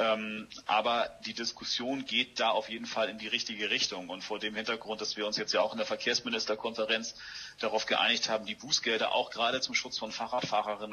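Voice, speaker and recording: Over noticeable background noise, a man talks at a fairly quick pace and medium pitch in a monotone, flat intonation. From Hamburg, northern Germany. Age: 40s. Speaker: politician. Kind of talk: interview.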